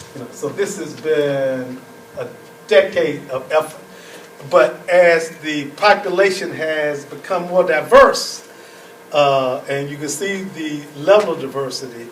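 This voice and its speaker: Speaking at a fairly slow pace, a man with a fairly high pitch shows ordinary pitch variation and big swings in loudness. Audible room echo and noticeable background noise fill the recording. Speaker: professor. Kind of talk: lecture.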